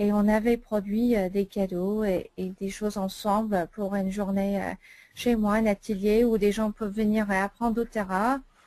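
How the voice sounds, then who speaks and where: This woman has an American accent and a dark, mellow tone. She talks at a fairly slow pace with monotone, flat intonation. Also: medium pitch for a woman. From United States. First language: English (speaking French). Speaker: essential oils consultant. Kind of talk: sales presentation webinar. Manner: hesitant, many fillers.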